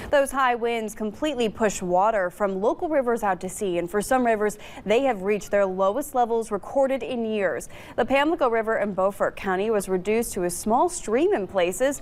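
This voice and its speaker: This woman has an ordinary speaking voice and an American accent, with a fairly high pitch. She talks at a fairly quick pace with lively intonation. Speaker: television news anchor. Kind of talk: TV news anchor delivery.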